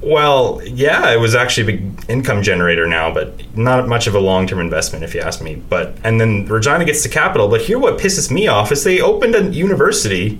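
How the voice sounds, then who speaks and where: A man talks at a fairly quick pace in a western Canadian accent, with hardly any pauses. Noticeable background noise and audible room echo are present. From Saskatoon, Saskatchewan, Canada. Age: 20s. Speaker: podcaster. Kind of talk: casual chat. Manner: halting.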